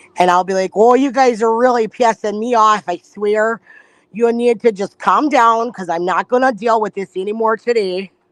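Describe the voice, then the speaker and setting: A woman with an American accent speaks at a fairly high pitch and a moderate pace. Her pitch variation is ordinary, and the sound is dry and close with no echo. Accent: northern Michigan, stronger when riled up. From northern Michigan. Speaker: live streamer. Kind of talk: casual chat.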